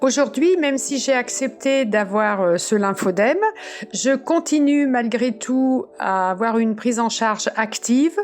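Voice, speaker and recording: A woman with a high pitch speaks at a fairly slow pace and very even loudness over noticeable background noise. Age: 70s. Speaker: cancer survivor and patient advocate. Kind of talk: personal testimony. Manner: halting, many repetitions and fillers.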